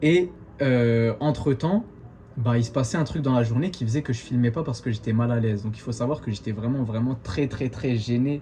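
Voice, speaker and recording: A man with an unremarkable speaking voice, medium in pitch, with ordinary pitch variation at a moderate pace. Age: 20s. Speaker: vlogger, exchange student. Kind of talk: casual talk to camera.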